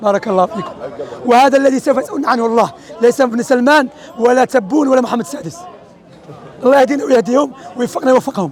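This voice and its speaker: Over crowd noise in the background, a man talks very fast at an extremely high pitch, broken by long, frequent pauses. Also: ordinary pitch variation. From Algeria, Oran. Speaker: street preacher. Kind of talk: religious teaching in street discussion.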